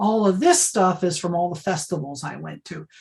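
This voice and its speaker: With ordinary pitch variation, a woman speaks in a somewhat breathy voice with a fairly low pitch. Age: 60s. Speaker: archivist and librarian. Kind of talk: talk with Q&A. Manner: casual, filler-heavy.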